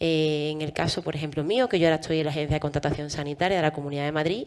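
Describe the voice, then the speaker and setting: The speaker is a woman with an Andalusian accent. Her pitch is very deep and low. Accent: Andalusian Spanish, noticeable. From Andalusia, Spain. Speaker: physician and health procurement administrator. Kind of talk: panel discussion.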